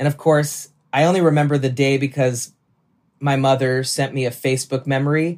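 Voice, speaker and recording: Pitched fairly high, a man talks at a fairly quick pace with monotone, flat intonation. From Nashville, Tennessee. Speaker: musician. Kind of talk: casual interview chat.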